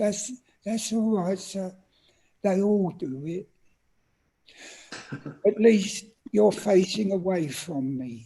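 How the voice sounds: In a squeaky put-on character voice at a middle pitch, the speaker goes very slowly, with long, frequent pauses.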